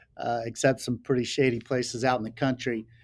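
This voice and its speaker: A man speaks with a Southern US accent on a very clean recording with a silent background. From North Carolina, rural Laurinburg. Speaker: sunglasses company founder. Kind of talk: podcast interview.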